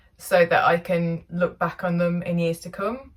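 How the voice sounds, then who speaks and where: Somewhat breathy, a woman with an English accent speaks at a moderate pace and medium pitch. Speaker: narrowboat vlogger. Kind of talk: vlog narration. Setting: outdoors on canal towpath.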